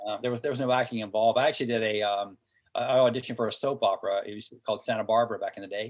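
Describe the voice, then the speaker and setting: Very fast and flat, a man speaks in a monotone with a Southern accent. His pitch is medium. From US South, Hickory, North Carolina. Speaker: entrepreneur and former TV athlete. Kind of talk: interview podcast. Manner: halting, many fillers.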